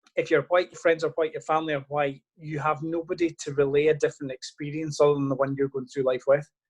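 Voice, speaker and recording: With hardly any pauses, a man talks at a very fast pace in a fairly high, somewhat breathy voice, his intonation monotone and flat, his loudness swinging widely, and the sound dry and close with no echo. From western Scotland. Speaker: local politician. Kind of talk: interview.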